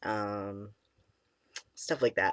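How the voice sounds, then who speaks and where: At a fairly slow pace, a man talks in a shaky voice with a dry, close sound, no echo and a silent background in a very clean recording. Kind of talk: casual talk to camera.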